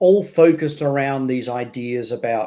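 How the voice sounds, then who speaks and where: A man with an Australian accent talks at a fairly slow pace. His tone is dark and mellow. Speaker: education leader and author. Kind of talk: interview.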